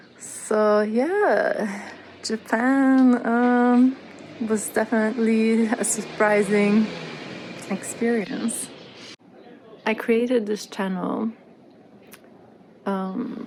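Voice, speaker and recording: With long, frequent pauses and noticeable background noise, a woman speaks at a very slow pace, her fairly high pitch held in a fairly even intonation. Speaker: travel vlogger. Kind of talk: casual vlog talk to camera. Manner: hesitant, many fillers. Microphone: poor audio.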